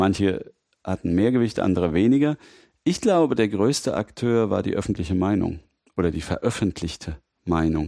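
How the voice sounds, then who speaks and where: A man with a fairly low pitch and a dark, mellow tone speaks at a moderate pace with lively intonation. The very clean recording has a silent background and a dry, close sound with no echo. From Mainz, Rheinhessen. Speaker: lawyer, data protection expert. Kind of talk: interview, expert explanation.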